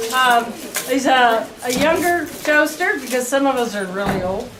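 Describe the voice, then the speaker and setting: A woman talks at a moderate pace in a high voice while noticeable background noise carries on. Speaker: jousting troupe captain. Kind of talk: guided tour talk to visitors. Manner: upbeat, enthusiastic.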